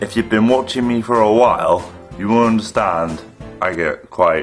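A man speaks at a moderate pace in a fairly low voice with ordinary pitch variation. Clear music plays in the background. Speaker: vlogger. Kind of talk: casual vlog chat. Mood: relaxed, cheerful, laughing. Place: home room. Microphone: webcam.

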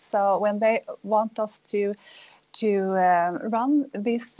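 A woman is speaking. Her tone is dark and mellow. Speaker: energy company business developer. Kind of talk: panel discussion. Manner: halting, many fillers. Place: home room. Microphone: earbuds.

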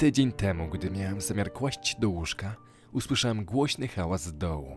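There is music in the background as a man speaks at a moderate pace. His pitch swings very widely. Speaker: voice-over reader. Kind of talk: horror story narration.

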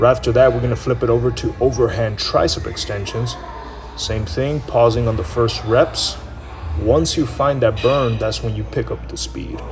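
A man speaks at a moderate pace while clear music plays behind him. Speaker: fitness coach. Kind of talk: casual vlog chat.

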